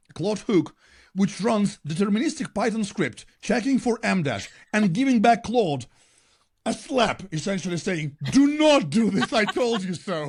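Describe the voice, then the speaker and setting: A man's high-pitched voice with very wide pitch swings, at a moderate pace over a quiet background. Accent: non-native. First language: not English. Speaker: podcast co-host. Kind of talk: casual chat.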